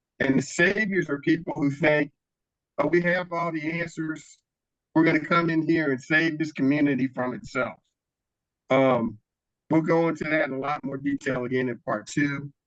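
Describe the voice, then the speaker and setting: A man in a plain, everyday voice speaks at a moderate pace with a fairly high pitch and ordinary pitch variation. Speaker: nonviolence trainer and community organizer. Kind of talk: workshop presentation.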